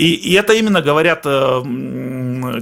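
A man's bright, sharp voice with very wide pitch swings. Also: very clean recording, silent background. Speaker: Russian emigrant in Finland. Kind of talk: casual chat. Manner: halting.

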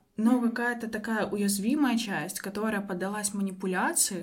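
A woman with a fairly high, somewhat breathy voice speaks at a moderate pace with ordinary pitch variation, and audible room echo surrounds her. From Belarus, Minsk. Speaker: psychologist and coach. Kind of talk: interview.

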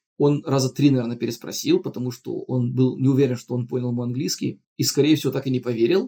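Talking at a very fast pace with hardly any pauses, a man uses a somewhat breathy, dark and mellow voice at a medium pitch. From outside Russia. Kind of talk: casual storytelling.

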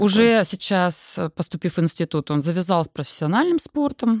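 In a very clean recording with a silent background and a dry, close sound with no echo, a woman with a plain, everyday voice speaks at a moderate pace in a fairly low pitch, with lively intonation and big swings in loudness. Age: 40s. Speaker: sports psychologist and coach. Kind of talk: casual interview.

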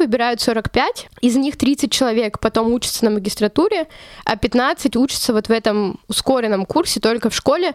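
In a dry, close recording with no echo, a woman with a high pitch talks at a moderate pace and very even loudness. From Russia, Chelyabinsk. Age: 20s. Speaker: journalism student. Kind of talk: interview.

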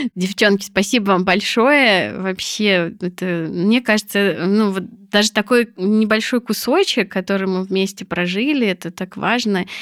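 In a very clean recording with a silent background, a woman with a plain, everyday voice speaks at a medium pitch and a fairly slow pace with ordinary pitch variation. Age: 40s. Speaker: psychologist. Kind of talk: casual chat.

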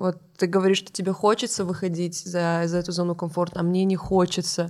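In a very clean recording with a silent background, a woman with a plain, everyday voice speaks at medium pitch and a moderate pace. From North Ossetia. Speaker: stand-up comedian. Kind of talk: casual chat.

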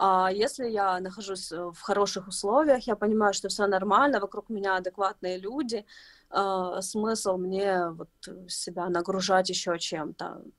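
At a moderate speed, a woman talks at a medium pitch that varies in an ordinary way. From Ukraine, Kyiv. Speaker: footwear designer. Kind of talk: interview. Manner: halting.

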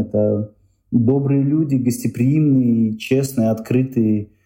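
A man talks at a fairly slow pace with a dark, mellow tone. His intonation stays monotone and flat. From Uzbekistan, Tashkent. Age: 30s. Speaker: tour organizer and blogger. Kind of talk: interview.

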